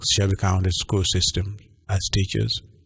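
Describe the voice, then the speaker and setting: A man with a Ugandan accent speaks in a monotone, flat way. His voice is somewhat breathy, and the background is quiet. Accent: Ugandan accent, noticeable. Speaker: pastor. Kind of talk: radio interview. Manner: hesitant with many fillers.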